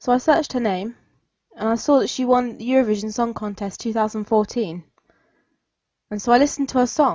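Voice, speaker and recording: Speaking at a fairly quick pace, a woman has a fairly high pitch and ordinary pitch variation in a southern English accent. Her speech has long, frequent pauses. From southern England. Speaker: podcast host. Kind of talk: podcast monologue.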